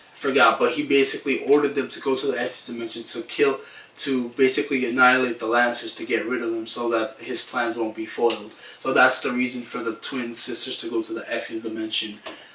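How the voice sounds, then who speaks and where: Fairly quick speech comes through noticeable background noise. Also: man, medium pitch for a man. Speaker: anime review youtuber. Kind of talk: casual video review. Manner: subdued, less excited than usual; hesitant with fillers.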